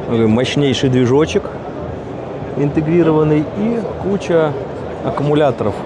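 With loud background noise behind him, a man speaks with ordinary pitch variation. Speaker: aviation hobbyist vlogger. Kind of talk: casual vlog commentary. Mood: amused, enthusiastic. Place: hall. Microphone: phone near.

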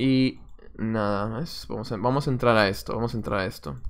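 A man speaks at a moderate pace. His pitch sits in the medium range. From Peru, Lima. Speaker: chess coach and streamer. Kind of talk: live stream commentary while playing chess. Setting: live stream. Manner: casual, thinking aloud.

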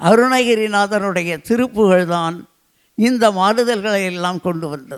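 The recording is very clean, with a silent background. A man speaks in a high pitch with ordinary pitch variation. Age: 80s+. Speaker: invited speaker at literary festival. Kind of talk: public speech. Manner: formal.

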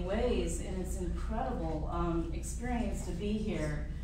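A woman's voice carries audible room echo along with noticeable background noise. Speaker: featured poet. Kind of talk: panel moderation and personal storytelling. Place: hall. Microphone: camera far.

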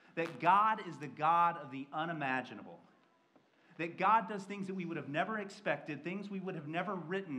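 With strong room echo, a man speaks at a fairly quick pace with an American accent, a bright, sharp tone and a fairly high pitch.

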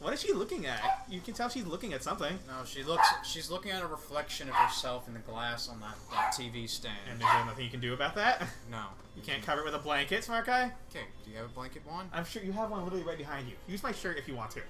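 Over loud background noise, a man talks very fast with hardly any pauses. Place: home room.

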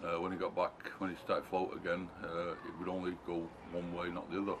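A man with a very deep, low pitch, flat monotone and fairly quick pace, over noticeable background noise. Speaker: sailing vlogger. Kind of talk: casual vlog chat. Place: garden. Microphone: camera far.

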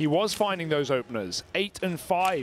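Amid noticeable background noise, a man talks at a fairly quick pace in a fairly high pitch with an animated tone. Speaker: esports caster. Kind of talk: live esports commentary. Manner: fast-paced, animated play-by-play.

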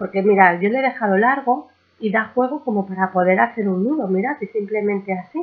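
A woman speaks at a fairly quick pace. Her medium pitch shows ordinary pitch variation.

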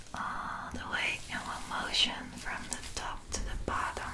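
A soft-spoken woman whispers at a very slow pace over noticeable background noise. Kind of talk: soft-spoken ASMR roleplay. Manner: close, soft ASMR whisper. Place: home room. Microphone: earbuds.

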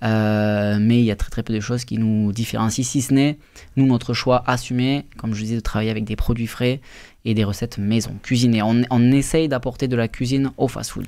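A man with fairly even intonation keeps a moderate pace, and the background is quiet. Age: 20s. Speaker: restaurant owner; guest. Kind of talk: radio interview. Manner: halting, many fillers. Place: studio. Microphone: studio mic.

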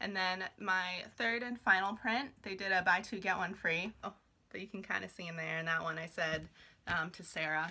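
A woman's bright, sharp voice with vocal fry, at a moderate pace with ordinary pitch variation, over light background noise. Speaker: vlogger. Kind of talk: casual haul vlog chat. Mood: excited, cheerful. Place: home room. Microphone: phone near.

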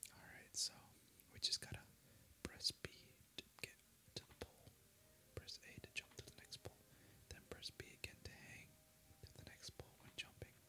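A soft-spoken whisper moves at a moderate pace, broken by long, frequent pauses. Noticeable background noise sits behind it. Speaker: gameplay commentator. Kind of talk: commentary. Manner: soft ASMR whisper reading instructions.

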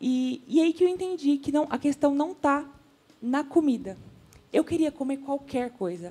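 This woman has a high pitch and a dark, mellow tone. She speaks at a moderate pace. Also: lively intonation. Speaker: social media influencer. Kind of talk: TV talk show panel discussion. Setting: TV studio.

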